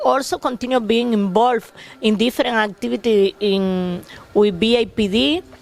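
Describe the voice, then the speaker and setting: A woman with a Cuban accent talks at a moderate pace in a fairly high pitch, with lively intonation. Her loudness is very even, and there is noticeable background noise. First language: Spanish. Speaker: special education teacher. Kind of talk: testimonial tribute. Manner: halting.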